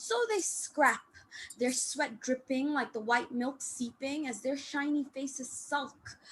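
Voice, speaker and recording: A woman's high-pitched voice at a fairly slow pace against noticeable background noise. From Malaysia. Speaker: open mic poet. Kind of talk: poetry reading. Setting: online video call.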